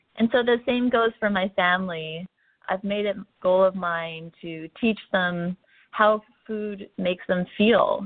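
A woman with a Canadian accent speaks at a fairly slow pace in a plain, everyday voice. Her pitch is medium and her intonation fairly even. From central Canada. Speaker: wellness influencer. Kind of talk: interview conversation.

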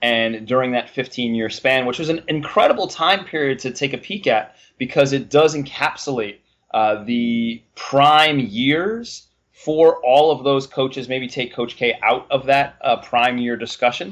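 Speaking fairly slowly, a man uses a medium pitch with ordinary pitch variation. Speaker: college basketball podcast host. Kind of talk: casual sports podcast banter. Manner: chatty, animated.

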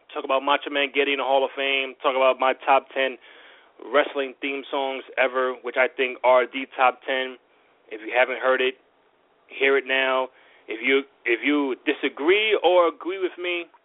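At a moderate pace and with fairly even intonation, a man speaks in an unremarkable speaking voice pitched fairly high. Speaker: podcast host. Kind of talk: casual podcast hosting and interview. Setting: live show from New York.

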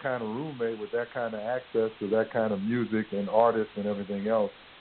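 A man with a New Orleans accent talks at a fairly quick pace and medium pitch. Background noise is noticeable. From US South. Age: 60s. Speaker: university president and spoken word poet. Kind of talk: casual interview.

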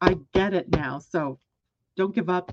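The speaker is a woman with a medium pitch. Her pitch varies in an ordinary way. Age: 60s. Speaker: astrologer and show host. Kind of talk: live solo astrology broadcast. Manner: casual, conversational.

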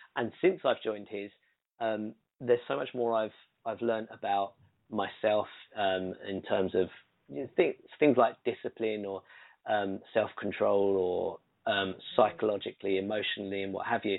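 A man with a British accent, fairly low in pitch, with fairly even intonation and long, frequent pauses. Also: moderate pace. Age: 30s. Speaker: singer-songwriter and producer. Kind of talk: interview conversation.

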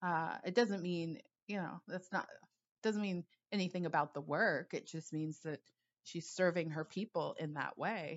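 A woman with a normal speaking voice and fairly low pitch talks at a moderate pace with ordinary pitch variation. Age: 40s. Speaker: intuitive coach. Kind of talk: solo podcast monologue. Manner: casual, laughs often.

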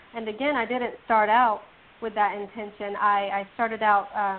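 Her voice is a normal speaking voice with a fairly high pitch. The woman talks at a fairly slow pace. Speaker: audiobook reviewer and promoter. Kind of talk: casual interview chat. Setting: remote call, radio show.

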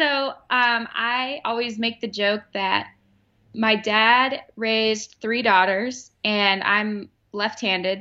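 This woman has an American accent and a fairly high pitch. Her intonation stays fairly even in an unremarkable speaking voice. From Arizona (Phoenix). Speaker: sports beat writer. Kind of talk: casual interview chat.

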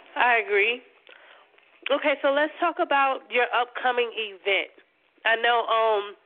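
A woman with a high pitch talks at a fairly slow pace with long, frequent pauses, ordinary pitch variation and very even loudness. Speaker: radio co-host and author. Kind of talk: interview.

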